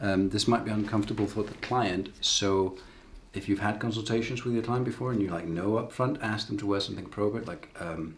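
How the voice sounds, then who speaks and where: A man with a fairly low, somewhat breathy voice talks at a fairly quick pace, his intonation fairly even. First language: not English. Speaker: tattoo artist. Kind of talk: tutorial. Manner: casual, with hesitations.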